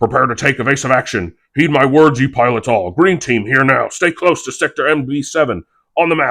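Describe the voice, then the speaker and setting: A man puts on a character voice at medium pitch. He talks at a fairly quick pace against a quiet background. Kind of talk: Shakespearean verse. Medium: read story. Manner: commanding.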